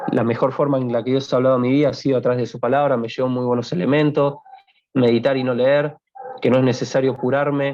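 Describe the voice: A man's medium-pitched voice, slightly mellow, fast, with little pitch movement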